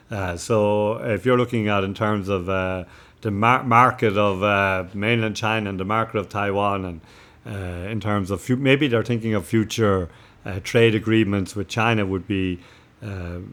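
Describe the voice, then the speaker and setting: A man with a Cork accent and fairly even intonation, in a very clean recording with a silent background. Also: fairly low pitch for a man, moderate pace. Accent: Cork Irish. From Cork, Ireland. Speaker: missionary priest. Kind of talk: interview answer.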